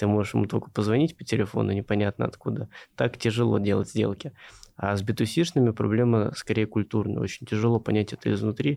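Very fast speech comes from a man with a fairly low pitch, vocal fry and ordinary pitch variation. His loudness stays very even on a very clean recording with a silent background. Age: 20s. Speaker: venture investor. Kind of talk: interview.

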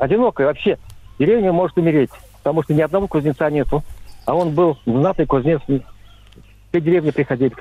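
A man with fairly high pitch and ordinary pitch variation speaks at a very fast pace with long, frequent pauses and very even loudness. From Chuvashia, Russia. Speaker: caller. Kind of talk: phone-in anecdote. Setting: phone call.

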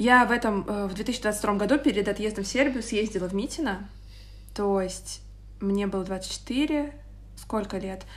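A woman at medium pitch with vocal fry and ordinary pitch variation, speaking at a fairly slow pace with long, frequent pauses. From Moscow, Russia. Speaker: podcast co-host. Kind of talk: casual chat.

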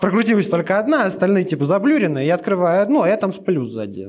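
A man with a high pitch, talking at a very fast pace in an animated tone, with very wide pitch swings. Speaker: podcast host. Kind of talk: storytelling.

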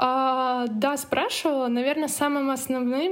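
Speaking at a fairly slow pace, a woman with a high pitch and ordinary pitch variation is heard over noticeable background noise. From Russia, Murmansk. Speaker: emigrant student. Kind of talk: interview.

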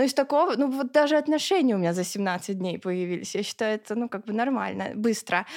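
A woman talks in a normal speaking voice at a fairly high pitch, with lively intonation. She speaks with hardly any pauses. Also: fairly quick pace. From Russia, Ulyanovsk. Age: 20s. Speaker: blogger. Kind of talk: casual interview.

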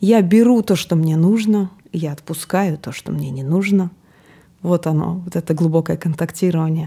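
Somewhat breathy and dark, mellow in tone, a woman speaks at a moderate pace with a fairly low pitch and ordinary pitch variation. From Siberia (Novosibirsk). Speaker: podcast co-host and gestalt psychologist. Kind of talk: casual chat.

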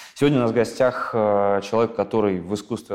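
Speaking at a moderate pace, this man has an ordinary speaking voice and fairly even intonation. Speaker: podcast host. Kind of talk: interview.

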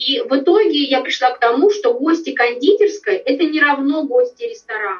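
This woman's voice is high-pitched, with very wide pitch swings. She talks at a moderate pace. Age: 40s. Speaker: business owner. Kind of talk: interview.

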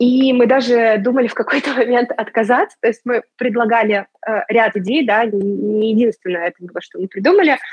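In an unremarkable speaking voice, a woman talks at a moderate pace. Her pitch is fairly high, with ordinary variation. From Russia. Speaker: music marketing agency manager. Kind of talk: casual interview.

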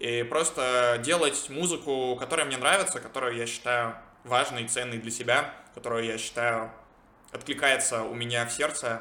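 With fairly even intonation and a medium pitch, a man in an ordinary speaking voice keeps a moderate speed. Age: 20s. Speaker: podcaster and product manager. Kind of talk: solo monologue vlog.

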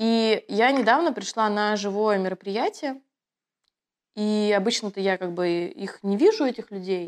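An ordinary speaking voice from a woman, fairly high in pitch and fairly slow, in a very clean recording with a silent background. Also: ordinary pitch variation. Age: 30s. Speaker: producer of online schools, actress. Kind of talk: casual interview chat.

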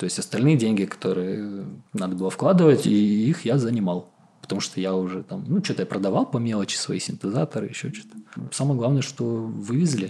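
A man with an ordinary speaking voice talks at a medium pitch and a fairly quick pace. His intonation is lively. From southern Russia, Krasnodar Krai. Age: 30s. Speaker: co-living founder and musician. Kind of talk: casual interview.

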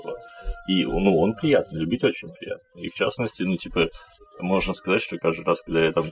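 A man's fairly quick speech broken by long, frequent pauses, over noticeable background noise. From Kazakhstan. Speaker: podcast host. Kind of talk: scripted outro; casual chat.

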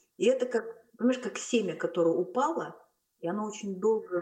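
Pitch variation is ordinary. The pace is fairly quick. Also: woman. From Kazakhstan, Almaty. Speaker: film director. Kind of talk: casual interview. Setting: call.

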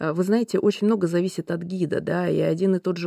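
Speaking at a fairly quick pace, a woman with a fairly low pitch, vocal fry and a dark, mellow tone keeps her intonation fairly even in a dry, close sound with no echo. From Russia, Lake Baikal region. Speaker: railway company executive. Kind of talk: interview.

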